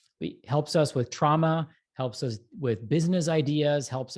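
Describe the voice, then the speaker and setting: Against a quiet background, a man talks in a somewhat breathy, fairly high voice. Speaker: breathwork expert, health practitioner. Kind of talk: educational talk on a live show. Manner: fast.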